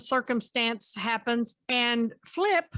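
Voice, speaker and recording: A woman speaks at a high pitch with a bright, sharp tone. The recording is very clean, with a silent background and a dry, close sound with no echo. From US, West Virginia. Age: 60s. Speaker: podcast host and psychotherapist. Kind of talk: interview.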